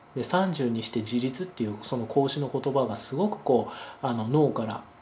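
Through noticeable background noise, a man talks at a moderate pace in a medium pitch with ordinary variation. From Japan, Kyushu (Kagoshima). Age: 30s. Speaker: educator and investor giving talks. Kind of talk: monologue talk to camera. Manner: frequent filler hesitations.

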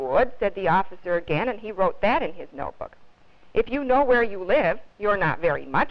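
The speaker has a natural reading voice. The intonation moves in a lively way.

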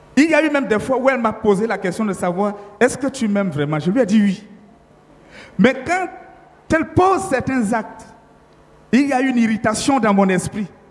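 With noticeable background noise behind him, a man speaks in a high pitch and leaves long, frequent pauses. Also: lively intonation, moderate pace. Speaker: pastor. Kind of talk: testimony. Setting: church.

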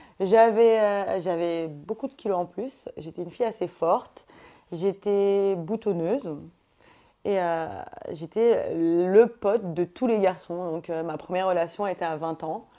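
A woman's dark, mellow voice at a very slow pace, with ordinary pitch variation and a quiet background. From Paris suburbs, Essonne; France. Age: 20s. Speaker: reality TV contestant; TV interviewee. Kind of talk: casual interview. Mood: candid, sometimes indignant. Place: home room.

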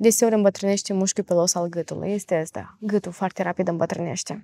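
A woman talks at a fairly quick pace in a plain, everyday voice, her pitch medium. The background is quiet and her intonation fairly even. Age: 20s. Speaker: facial exercise coach. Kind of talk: podcast interview. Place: studio.

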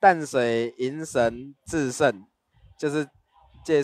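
The sound is dry and close, with no echo. The pitch varies in an ordinary way. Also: man. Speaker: traditional music performer. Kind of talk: explanatory interview.

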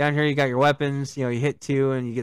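A man at medium pitch, dry sound with no echo, over a quiet background. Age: 40s. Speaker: gaming stream host. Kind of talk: casual chat. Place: home room. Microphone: studio mic.

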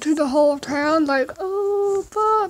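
Ordinary pitch variation runs through the speech. The voice is a woman's. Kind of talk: casual vlog chat. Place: home room. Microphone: phone near.

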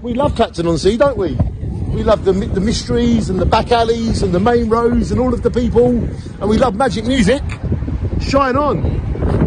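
A man at a fairly quick pace, dry sound with no echo, crowd noise behind him. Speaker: local vlogger. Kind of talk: casual vlog chat. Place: street. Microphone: phone near.

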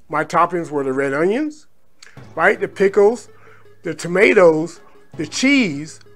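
At a fairly slow pace, a man talks with a high pitch. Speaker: food vlogger. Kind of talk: casual vlog chat.

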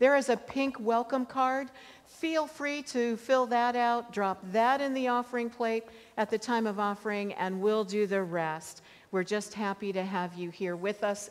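A woman at a moderate pace, with ordinary pitch variation. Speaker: pastor. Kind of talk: church announcements. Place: church.

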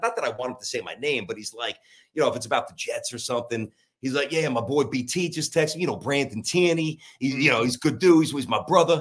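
A man with an American accent speaks at a fairly quick pace over a quiet background. His pitch varies in an ordinary way. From Brooklyn, New York. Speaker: sports talk radio host. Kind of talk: casual chat interview. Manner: fast, animated. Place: office.

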